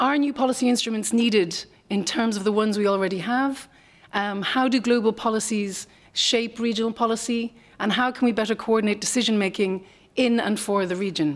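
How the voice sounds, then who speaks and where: Speaking at a fairly quick pace, a woman with an Irish accent uses a fairly high pitch and ordinary pitch variation. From Ireland. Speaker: NGO policy analyst, former professor. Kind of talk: conference panel talk. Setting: conference panel with audience. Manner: fast.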